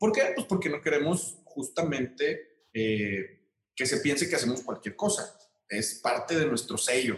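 At a fairly high pitch, a man talks fairly slowly, his pitch swinging very widely. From Mexico, Aguascalientes. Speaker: architect. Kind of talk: interview.

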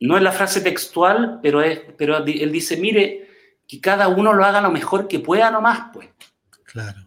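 With a Chilean accent, a man talks at a moderate pace in a high pitch. His pitch variation is ordinary, while his loudness swings widely. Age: 50s. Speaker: clinical psychologist. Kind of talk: interview.

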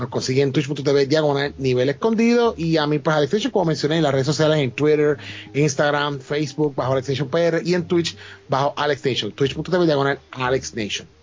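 A man with a fairly high pitch speaks at a moderate pace and very even loudness against noticeable background noise. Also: ordinary pitch variation. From Puerto Rico, Ponce. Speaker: podcast co-host. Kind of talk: casual chat.

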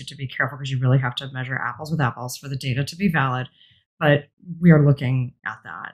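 A woman with an American accent speaks at a very deep, low pitch with ordinary pitch variation. Her voice is somewhat breathy. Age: 50s. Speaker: executive coach. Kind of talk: interview.

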